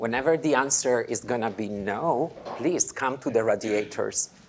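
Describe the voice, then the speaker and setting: A man talks at a moderate pace with an Italian accent. His pitch varies in an ordinary way. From Italy. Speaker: dance programmer. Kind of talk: lecture. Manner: halting.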